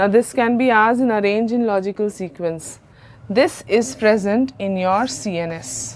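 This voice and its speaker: In an unremarkable speaking voice, a woman talks at a moderate pace and medium pitch with lively intonation. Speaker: biology teacher. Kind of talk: lecture.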